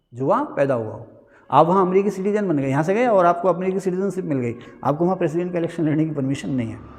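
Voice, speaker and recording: Here a man speaks in a high pitch with lively intonation. Audible room echo surrounds his voice. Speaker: teacher. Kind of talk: lecture. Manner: conversational, rhetorical questions.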